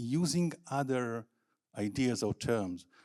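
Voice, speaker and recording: The voice has a dark, mellow tone with ordinary pitch variation. It is a very clean recording with a silent background. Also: man. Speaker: academic researcher. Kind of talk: conference presentation.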